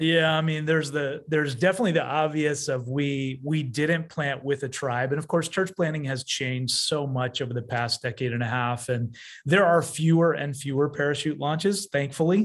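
Against a quiet background, a man with an ordinary speaking voice and fairly high pitch talks at a moderate pace with ordinary pitch variation. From Canada. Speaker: pastor. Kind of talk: casual chat.

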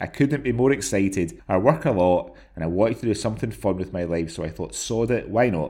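With a Scottish accent, a man speaks in a fairly low voice with lively intonation. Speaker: podcast co-host. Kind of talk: casual chat.

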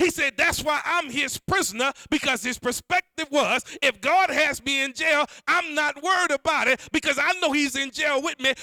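A bright, sharp, animated voice is raised and projected at a moderate pace, with a dry, close sound and no echo. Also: man, extremely high pitch for a man. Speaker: preacher. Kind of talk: sermon. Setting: church. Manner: animated, call-and-response preaching; fervent, rhythmic.

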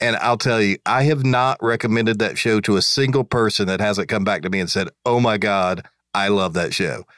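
An ordinary speaking voice from a man, fairly low in pitch, at a moderate pace with ordinary pitch variation and very even loudness, in a very clean recording with a silent background and a dry, close sound with no echo. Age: 50s. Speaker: lawyer and podcast co-host. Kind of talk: casual interview.

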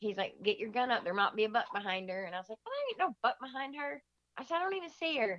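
Talking at a very fast pace with an Upper Midwest US accent, a woman uses a high pitch with very wide swings, in a dry, close sound with no echo. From Michigan. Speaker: deer hunter. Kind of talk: storytelling in casual interview.

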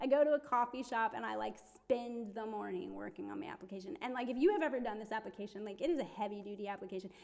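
Speaking very fast with a Midwestern accent, a woman has a fairly high pitch. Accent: American, Midwestern. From Ohio, US. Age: 30s. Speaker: ministry intern. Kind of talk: casual chat, interview about personal faith story.

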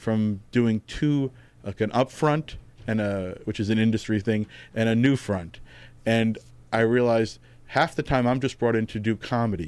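A New York accent with fairly even intonation at a moderate pace. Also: man. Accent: New York area American. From New Jersey, US (Tenafly, North Jersey). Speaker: comedy writer and music journalist. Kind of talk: casual interview chat.

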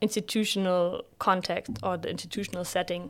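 The recording is very clean, with a silent background. The intonation stays fairly even. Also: woman. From northern Germany, Bremen. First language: German. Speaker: PhD student. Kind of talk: interview.

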